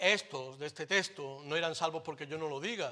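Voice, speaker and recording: A man is speaking. The tone comes across bright and sharp. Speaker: pastor. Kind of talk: sermon. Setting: church. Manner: animated.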